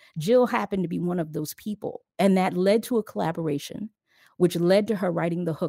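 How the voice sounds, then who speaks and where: Recorded very cleanly with a silent background and a dry, close sound free of echo, a woman with an American accent and a dark, mellow tone speaks at a moderate pace with ordinary pitch variation. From Philadelphia. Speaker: radio personality. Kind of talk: casual interview chat.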